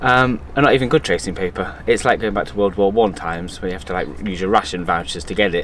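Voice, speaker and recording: Very fast, lively male speech at a fairly low pitch amid noticeable background noise. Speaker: sailing vlogger. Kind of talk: casual vlog chat. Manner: animated.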